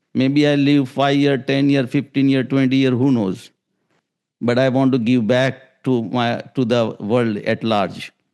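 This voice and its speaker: At a fairly slow pace, a man speaks at a medium pitch with fairly even intonation and very even loudness against a quiet background. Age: 60s. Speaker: raw food advocate and author. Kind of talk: podcast interview. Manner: halting.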